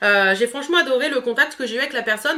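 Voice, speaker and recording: A woman's raised, projected voice, high-pitched with a bright, sharp tone, ordinary pitch variation and a very fast pace. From northern France, Picardy. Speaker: beauty youtuber. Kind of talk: product review vlog. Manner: hesitant, many fillers.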